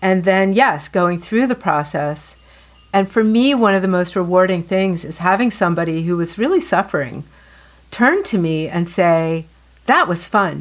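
A woman has an unremarkable speaking voice, medium in pitch with ordinary pitch variation, at a moderate pace. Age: 50s. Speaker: color consultant and podcast co-host. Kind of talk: casual chat.

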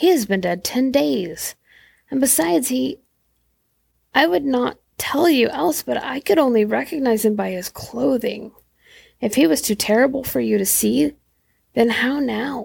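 A woman puts on a character voice, shaky and fairly high in pitch, with very wide pitch swings. She moves at a moderate pace with long, frequent pauses. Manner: trembling.

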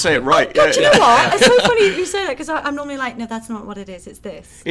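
A woman with a Liverpool accent talks very fast in a high voice, her pitch swinging very widely and her loudness rising and falling sharply, over noticeable background noise. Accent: Liverpool (Scouse). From Liverpool, England. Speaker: podcast guest.

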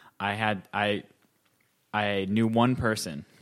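A man with an American accent speaks at a fairly low pitch with fairly even intonation. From US Midwest, North Dakota. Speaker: trombonist. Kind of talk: interview. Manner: halting, many fillers and repeats.

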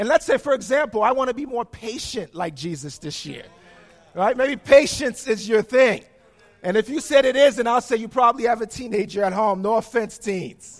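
A man speaks with an extremely high pitch and ordinary pitch variation. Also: moderate pace. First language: not English. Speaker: preacher. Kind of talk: sermon. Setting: church.

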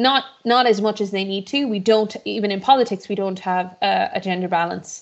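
A woman's medium-pitched voice in an Irish accent, at a moderate pace with hardly any pauses and ordinary pitch variation. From western Ireland (Mayo/Galway), born in Boston. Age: 30s. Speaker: politician. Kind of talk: interview. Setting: video call. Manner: talkative, many repetitions and fillers.

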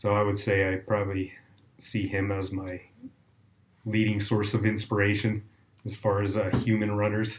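A man speaks in a fairly low pitch at a moderate pace, with long, frequent pauses. His intonation is monotone and flat, and his voice is somewhat breathy. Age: 40s. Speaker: trail runner. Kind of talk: casual interview.

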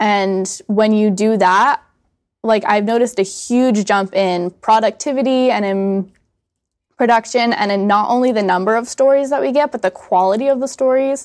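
At a moderate pace, a woman talks in an unremarkable speaking voice, fairly high in pitch with ordinary pitch variation. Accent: American. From United States. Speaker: student magazine editor. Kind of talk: casual chat.

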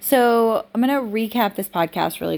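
At a moderate pace, a woman with an ordinary speaking voice talks with lively intonation. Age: 40s. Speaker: business coach and podcast host. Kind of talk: casual solo monologue.

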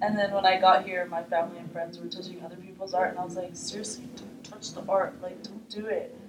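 A woman talks at a very fast pace with an Arabic accent and medium pitch. Her intonation is fairly even, but her loudness swings a lot. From Middle East. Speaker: artist. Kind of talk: interview. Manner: hesitant, many fillers.

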